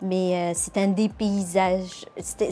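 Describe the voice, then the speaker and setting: A woman's medium-pitched voice with a Charlevoix accent. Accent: Québécois (Charlevoix). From Morocco. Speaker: nurse. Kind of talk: interview.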